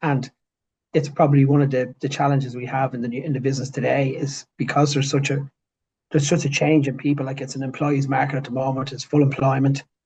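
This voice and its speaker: A man talks very fast in a strong north Dublin accent, his pitch fairly high. His intonation stays monotone and flat. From Ireland, north Dublin. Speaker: business managing director. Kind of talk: interview. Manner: halting, with repetitions.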